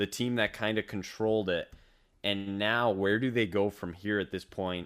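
Speaking at a moderate pace in an American accent, a man keeps a monotone, flat intonation at a fairly low pitch. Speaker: sports podcast co-host. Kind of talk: casual sports chat.

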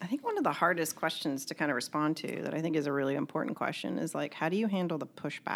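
A woman with an American accent, very deep and low in pitch, at a very fast pace with hardly any pauses and lively intonation. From Kentucky, US. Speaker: podcast co-host, math teacher educator. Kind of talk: casual roundtable discussion. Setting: in-person recording at a conference.

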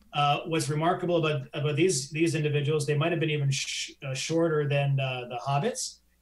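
Someone with a Canadian accent talks at a fairly quick pace with hardly any pauses over noticeable background noise. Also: man, fairly high pitch for a man, fairly even intonation. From Canada. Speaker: science journalist. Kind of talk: live interview chat. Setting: live stream.

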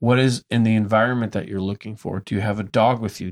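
A man speaks with fairly even intonation in an ordinary speaking voice. The recording is very clean, with a silent background. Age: 30s. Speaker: brewery tour business owner and radio host. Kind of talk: casual chat.

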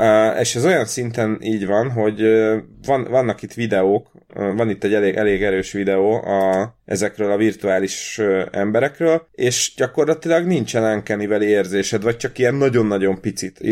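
A man speaks in a normal speaking voice at a fairly low pitch. His pitch varies in an ordinary way. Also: moderate pace. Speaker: podcast co-host. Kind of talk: casual chat. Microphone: new computer recording setup.

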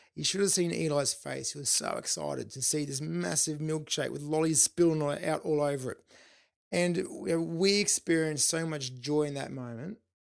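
A man talks with an Australian accent. His pitch sits fairly high. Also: very clean recording, silent background. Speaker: podcast host. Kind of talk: solo podcast monologue.

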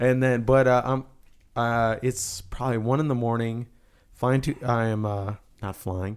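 In a very clean recording with a silent background, a man with an ordinary speaking voice talks fairly slowly at a medium pitch with fairly even intonation. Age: 20s. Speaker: podcast co-host. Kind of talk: casual chat.

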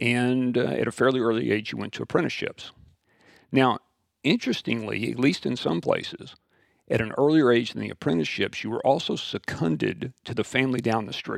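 Lively and fairly quick, a man with an American accent and vocal fry talks at a medium pitch in a dry, close sound with no echo. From West Texas. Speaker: school founder and teacher. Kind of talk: interview.

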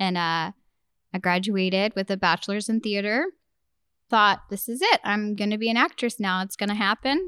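In a very clean recording with a silent background and a dry, close sound with no echo, a woman with a Texan accent speaks at a moderate pace in a medium pitch, with a bright, sharp tone and ordinary pitch variation. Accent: Texan American. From Texas, Beaumont. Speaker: theater company founder and director. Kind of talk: casual interview.

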